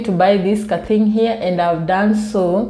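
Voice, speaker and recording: A dark, mellow tone comes through at a moderate pace with fairly even intonation. Audible room echo surrounds the voice. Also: woman. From Kenya. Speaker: vlogger. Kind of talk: casual storytelling vlog. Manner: soft-spoken.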